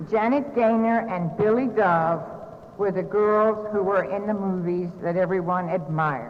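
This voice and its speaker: Someone speaks at a very slow pace in an American accent, with audible room echo and noticeable background noise. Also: woman. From US South, North Carolina. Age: 60s. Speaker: recovery speaker. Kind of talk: recovery meeting talk.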